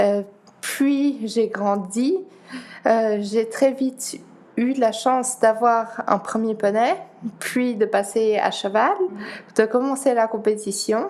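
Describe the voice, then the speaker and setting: Speaking very slowly with long, frequent pauses, a woman with a Dutch accent uses a fairly high pitch, ordinary pitch variation and very even loudness. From Geneva, Switzerland. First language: Dutch (speaking French). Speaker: para-athlete. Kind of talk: interview.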